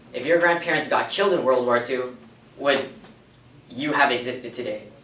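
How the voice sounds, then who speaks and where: A man with a medium-pitched voice talks at a fairly quick pace over noticeable background noise, with audible echo in the room. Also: ordinary pitch variation. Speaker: lay apologist teaching a confirmation class. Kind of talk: classroom lecture. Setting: classroom. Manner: fast; casual, interactive with students.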